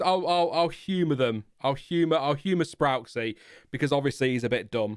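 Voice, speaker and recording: A man with an English accent and lively intonation at a fairly quick pace, on a very clean recording with a silent background. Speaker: streamer or commentator reading chat about Formula 1. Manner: hesitant, lots of fillers and restarts.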